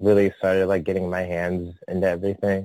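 With an American accent, this man has a very deep, low voice with a dark, mellow tone and a flat, monotone delivery. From San Francisco Bay Area. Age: 30s. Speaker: adult performer and artist. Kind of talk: interview. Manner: hesitant, filler-heavy.

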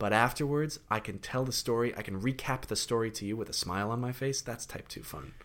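A man's unremarkable speaking voice at a medium pitch, fairly quick, with hardly any pauses and ordinary pitch variation. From Connecticut. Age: 30s. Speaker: actor. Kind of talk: casual chat.

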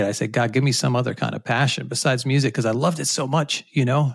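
With an American accent, a man speaks in a somewhat breathy, medium-pitched voice. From US Northeast, Rhode Island. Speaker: communication professor. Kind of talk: interview.

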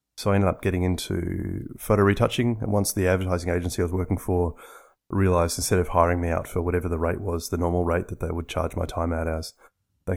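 In a very clean recording with a silent background, a man with an Australian accent speaks very fast in a very deep, low voice. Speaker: software designer. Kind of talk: casual interview. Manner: halting, repeats words.

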